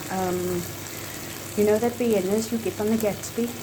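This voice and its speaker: A woman's medium-pitched voice with very wide pitch swings at a moderate pace, plus audible room echo and noticeable background noise. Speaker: food vlogger. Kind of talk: cooking tutorial. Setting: home kitchen. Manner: loud; animated.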